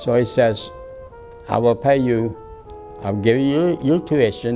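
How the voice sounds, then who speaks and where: Music plays behind a man who talks at a moderate speed, his pitch varying in an ordinary way. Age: 80s+. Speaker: university alumnus. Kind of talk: interview answer.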